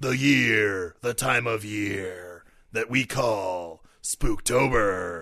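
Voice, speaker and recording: A man speaks very slowly in a raspy, put-on character voice with a fairly low pitch. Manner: exaggerated announcer delivery.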